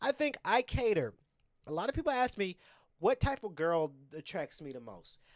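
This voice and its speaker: This man has an animated tone and very wide pitch swings, moving at a fairly quick pace in a dry, close sound with no echo. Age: 20s. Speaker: podcast host. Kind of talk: casual monologue. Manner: halting.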